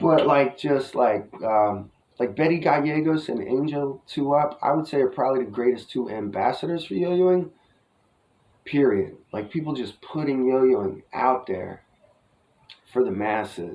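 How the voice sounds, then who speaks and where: A man with a New Jersey accent at a fairly slow pace, with lively intonation. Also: medium pitch for a man. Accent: New Jersey American. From US Northeast, New Jersey. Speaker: yo-yo hobbyist vlogger. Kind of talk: casual vlog review. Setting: outdoors. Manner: rambling casual, filler-heavy.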